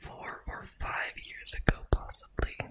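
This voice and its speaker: A soft-spoken whisper at a fairly slow pace over loud background noise. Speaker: ASMR creator. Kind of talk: soft-spoken show-and-tell chat. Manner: soft close-mic ASMR whisper. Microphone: studio mic.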